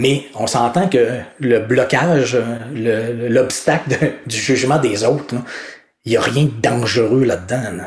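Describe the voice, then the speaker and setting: Speaking very slowly in a Quebec accent, a man uses a medium pitch. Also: ordinary pitch variation. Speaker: author, coach and speaker. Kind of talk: interview. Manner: spontaneous.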